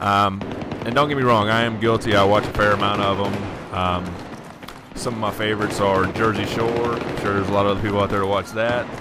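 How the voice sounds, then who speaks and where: With a Southern accent, a man speaks at a fairly low pitch in a monotone with flat intonation. Noticeable background noise and audible room echo fill the recording. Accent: southern accent, somewhat of a drawl. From US South. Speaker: gaming commentator. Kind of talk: gameplay commentary, casual chat. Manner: casual, hesitant with many fillers.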